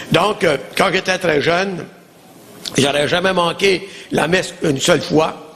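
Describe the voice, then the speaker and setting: Over noticeable background noise, a man with a high pitch speaks at a fairly slow pace in an Acadian accent, with ordinary pitch variation. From Acadia, New Brunswick. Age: 70s. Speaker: pastor. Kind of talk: testimony.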